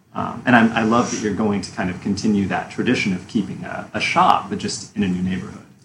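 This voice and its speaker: Against noticeable background noise, a man talks very fast with hardly any pauses. His pitch is fairly low with ordinary variation. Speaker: podcast co-host. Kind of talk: interview.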